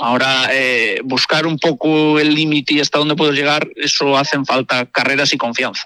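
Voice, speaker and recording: An ordinary speaking voice talks at a moderate pace with fairly even intonation. The sound is dry and close, with no echo. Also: man. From Galicia, Spain. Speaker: amateur rally driver. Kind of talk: radio interview.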